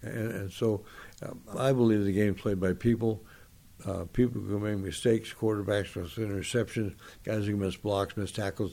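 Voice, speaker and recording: Recorded very cleanly against a silent background, a man with an American accent speaks at a moderate pace in a fairly low, dark, mellow voice with fairly even intonation. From US West Coast, Los Angeles area. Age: 80s+. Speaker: retired football referee and former school principal. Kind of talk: interview. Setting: at his home.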